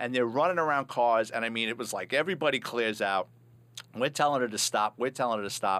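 A man speaks very fast at a medium pitch, his bright, sharp tone carrying ordinary pitch variation. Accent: New York. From New York City, the Bronx. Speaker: retired police officer and author. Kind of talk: casual interview, storytelling. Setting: studio.

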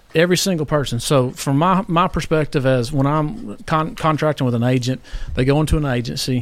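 In a Tennessee accent, the speaker keeps a moderate pace with ordinary pitch variation. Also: man. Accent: Tennessee Southern US. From Tennessee, Columbia. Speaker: insurance regional manager. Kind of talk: casual interview.

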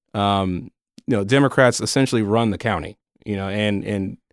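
With an American accent, a man speaks at a moderate pace with ordinary pitch variation on a very clean recording with a silent background. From northern US. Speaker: county community outreach liaison, former TV news worker. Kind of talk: casual interview. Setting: studio.

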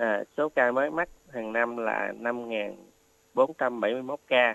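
This man speaks at a medium pitch. The sound is dry and close, with no echo. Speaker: oncology doctor. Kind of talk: expert health advice. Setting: radio studio. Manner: halting, many fillers.

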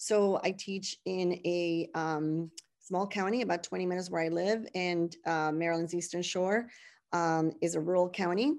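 The speaker has a Spanish accent and fairly even intonation. The background is quiet. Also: woman. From Puerto Rico (San Juan). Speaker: high school Spanish teacher. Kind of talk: interview.

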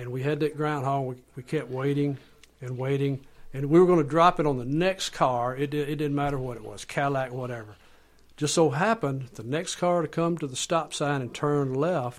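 In a Southern US accent, a man speaks with a fairly high pitch. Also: ordinary pitch variation, moderate pace. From US South. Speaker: author and storyteller. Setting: studio.

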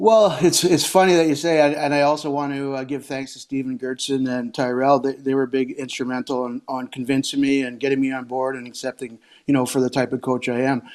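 Medium in pitch with fairly even intonation, a man with a Canadian prairie accent talks at a fairly quick pace with hardly any pauses. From Saskatchewan, Canada. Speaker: hockey coach. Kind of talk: casual interview.

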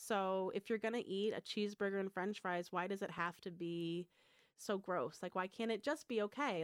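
In an American accent, a woman with a medium pitch and ordinary pitch variation speaks in an ordinary speaking voice, recorded very cleanly against a silent background with a dry, close sound and no echo. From Michigan. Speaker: food truck and restaurant owner. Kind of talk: radio interview.

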